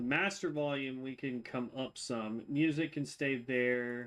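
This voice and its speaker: A man speaks at a very slow pace in a fairly high pitch. His intonation is fairly even, and the recording is very clean with a silent background. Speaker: video game streamer. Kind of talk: live gameplay commentary. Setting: live stream with headphones on. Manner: projects voice loudly; hesitant, many fillers.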